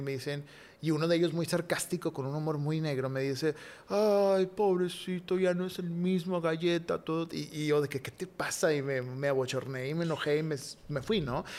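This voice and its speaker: Fairly even intonation marks this man's unremarkable speaking voice. He uses a fairly high pitch and a moderate pace. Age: 30s. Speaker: podcast guest. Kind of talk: testimony.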